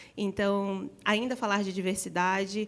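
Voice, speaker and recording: A woman speaks with a northeastern Brazilian accent on a very clean recording with a silent background. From Northeast Brazil. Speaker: panelist in gaming industry. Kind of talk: panel discussion.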